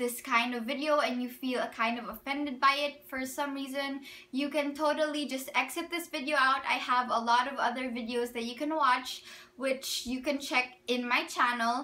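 A woman speaks in a raised, projected voice. Her intonation is monotone and flat. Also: moderate pace. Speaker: vlogger. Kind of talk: casual vlog chat. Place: home room. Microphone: phone near.

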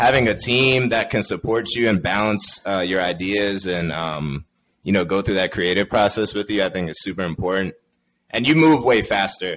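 This man talks at a moderate pace in a fairly low pitch with ordinary pitch variation over light background noise. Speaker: podcast host. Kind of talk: casual chat. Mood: relaxed, friendly. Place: home room. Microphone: studio mic.

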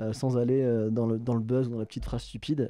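Dry, echo-free sound of a man speaking fairly quickly in a dark, mellow tone, with a quiet background. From southwest France, Bayonne; southwest France. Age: 30s. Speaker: political journalist. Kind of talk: interview. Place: studio. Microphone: studio mic.

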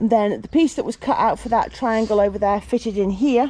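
A woman speaks with vocal fry. Her pace is fairly quick. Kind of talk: casual vlog chat. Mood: cheerful, relaxed. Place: open country. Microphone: phone near.

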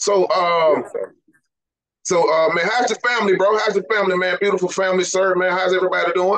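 A man with a high pitch talks at a very fast pace in an animated tone. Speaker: podcast host. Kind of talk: interview. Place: studio. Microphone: studio mic.

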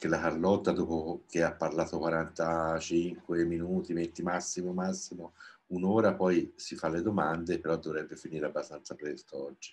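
Here a man is talking. His pitch is very deep and low. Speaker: event moderator. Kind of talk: moderating. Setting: video call. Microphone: video call.

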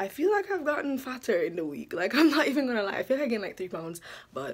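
A high-pitched woman at a very fast pace, her voice making very wide pitch swings. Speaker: vlogger. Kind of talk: casual vlog chat. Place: home room. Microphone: phone near.

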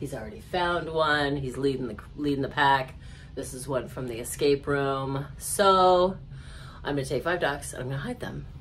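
Light background noise accompanies a woman with a very deep, low pitch and vocal fry. She talks at a moderate pace with ordinary pitch variation. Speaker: travel vlogger. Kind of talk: casual vlog chat. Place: home room. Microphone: phone near.

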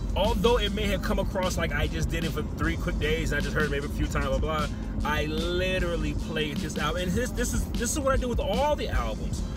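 A man talks at a fairly quick pace. Loud music plays behind him, and the sound is dry with no echo. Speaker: music album reviewer. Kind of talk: casual vlog chat. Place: car. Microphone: phone near.

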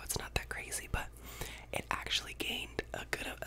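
A man is speaking. He whispers. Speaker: ASMR creator. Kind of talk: ASMR whispered ramble. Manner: whispered. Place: home room. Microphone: studio mic.

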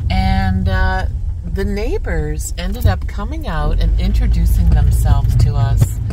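There is music in the background. The speaker talks at a very slow pace. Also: dry sound with no echo. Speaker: travel vlogger. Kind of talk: casual vlog chat. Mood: relaxed, warm. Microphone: phone near.

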